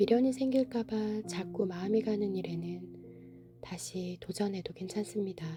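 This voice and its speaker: A woman talks at a fairly slow pace in a calm tone with hardly any pauses, over noticeable background noise. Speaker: book reader (audiobook narrator). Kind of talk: soothing bedtime book reading, essay narration. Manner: soft, calm, slow.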